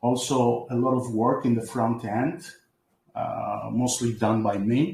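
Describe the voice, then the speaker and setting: The speaker has a Greek accent and talks at a very slow pace with ordinary pitch variation. Room echo is audible. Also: man, medium pitch for a man. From Greece. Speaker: crypto project developer. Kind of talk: online community presentation. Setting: online voice chat from home computer. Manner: halting.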